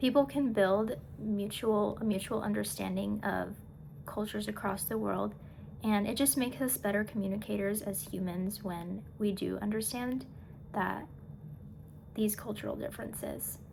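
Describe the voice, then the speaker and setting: A woman talks at a moderate pace. Room echo can be heard around her voice. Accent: American. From USA. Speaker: student. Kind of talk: class presentation. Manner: halting.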